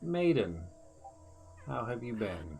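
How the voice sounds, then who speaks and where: Over clear background noise, a man performs a put-on character voice at a fairly low pitch. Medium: actual play. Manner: calm, serene, unhurried.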